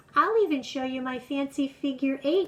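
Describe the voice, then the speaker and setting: A woman adopts a put-on character voice pitched high. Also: moderate pace. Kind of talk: bedtime story. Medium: read story.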